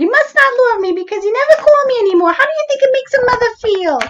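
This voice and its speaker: A woman's put-on character voice in a New York accent, squeaky and extremely high in pitch, with lively intonation at a very fast pace. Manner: guilt-tripping, complaining.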